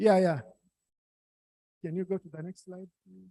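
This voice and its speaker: Soft-spoken, a man talks in a high pitch with a dark, mellow tone, the sound dry and close with no echo. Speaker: workshop attendee asking questions. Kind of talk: Q&A discussion. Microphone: too quiet.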